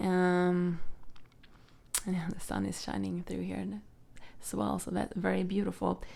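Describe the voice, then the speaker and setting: A woman with a Swedish accent, at a very slow pace. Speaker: tarot reader. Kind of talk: tarot reading. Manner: halting, many fillers.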